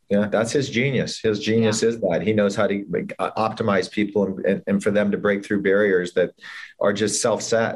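A man with an American accent and a plain, everyday voice talks at a moderate pace, with a fairly low pitch and very even loudness. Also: fairly even intonation, quiet background. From Los Angeles, US. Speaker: entrepreneur and music executive. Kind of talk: interview storytelling.

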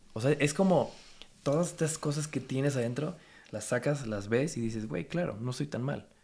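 At a moderate pace, a man speaks with a fairly high pitch and a somewhat breathy quality. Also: ordinary pitch variation. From Mexico. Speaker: photographer and content creator. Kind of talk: casual chat.

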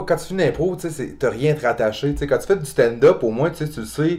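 Recorded very cleanly against a silent background, a man speaks with a Quebec accent. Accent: Québécois French. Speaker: comedian. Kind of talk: casual chat.

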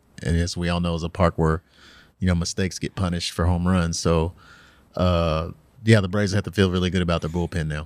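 On a very clean recording with a silent background, a man with a very deep, low pitch talks very fast in a monotone, flat intonation. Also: dry, close sound with no echo. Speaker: sports columnist. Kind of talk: casual sports analysis.

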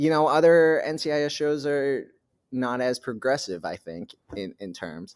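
On a very clean recording with a silent background, a man with an American accent and an ordinary speaking voice talks fairly slowly, his fairly high pitch carried by lively intonation. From New Hampshire, US. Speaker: actor. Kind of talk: casual interview.

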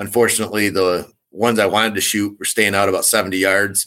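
A man with an Upper Midwest accent talks at a fairly quick pace and fairly low pitch, his tone bright and sharp. His intonation is monotone and flat, in a very clean recording with a silent background. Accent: Upper Midwest American. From Michigan. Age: 40s. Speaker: competitive archer and bowhunter. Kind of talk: casual interview.

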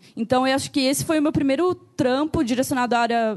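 Fairly quick speech from a woman with a high pitch. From southern Brazil, Joinville, Santa Catarina. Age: 30s. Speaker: illustrator and designer. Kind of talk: live panel discussion.

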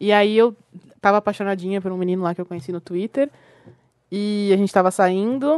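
Fairly quick overall yet broken by long, frequent pauses, a woman's medium-pitched voice shows ordinary pitch variation in a dry, close sound with no echo. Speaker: podcaster. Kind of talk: casual chat.

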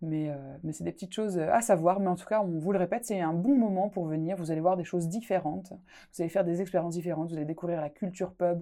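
Rushing along at a very fast pace with hardly any pauses, a woman with an Alsatian accent speaks at a fairly low pitch in a dark, mellow tone, on a very clean recording with a silent background. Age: 20s. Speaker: podcast host. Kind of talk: casual podcast chat. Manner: animated, laughs often.

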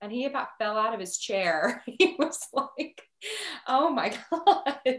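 A woman with a Midwestern American accent. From Nebraska. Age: 30s. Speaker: ICU nurse. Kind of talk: casual chat.

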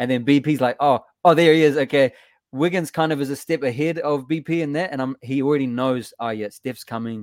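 A man with a New Zealand accent talks fairly quickly at a fairly high pitch, with ordinary pitch variation. The sound is dry and close, with no echo. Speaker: musician and Warriors fan guest. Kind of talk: casual sports chat. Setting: video call from overseas.

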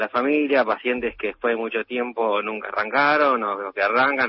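With a Rioplatense accent, a man talks at a very fast pace. His pitch is medium and his intonation fairly even. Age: 30s. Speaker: intensive care doctor. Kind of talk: radio interview.

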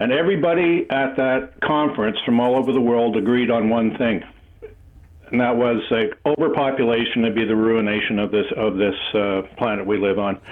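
A medium-pitched man speaks at a moderate pace with a Canadian accent and ordinary pitch variation. His loudness stays very even, and there is noticeable background noise. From Canada. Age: 70s. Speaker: caller. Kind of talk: casual chat. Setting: phone call.

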